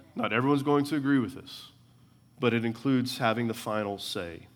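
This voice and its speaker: A man keeps his intonation fairly even while the room's echo is audible around him. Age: 40s. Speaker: preacher. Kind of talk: church sermon expounding scripture, building to pastoral application. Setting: church service with congregation. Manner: conversational with frequent uh fillers and stumbling repetitions; earnest, rhythmic preaching cadence with repeated phrases for emphasis.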